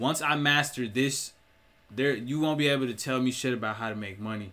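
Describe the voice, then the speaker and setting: The man's tone is bright and sharp. He speaks at a fairly quick pace with ordinary pitch variation. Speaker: entrepreneur vlogger. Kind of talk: casual vlog chat. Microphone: webcam.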